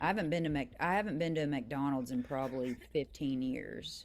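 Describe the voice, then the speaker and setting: The speaker is a woman. She has a very deep, low pitch. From western Kentucky, Mississippi River area (Hickman). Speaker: singer-songwriter. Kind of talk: radio interview.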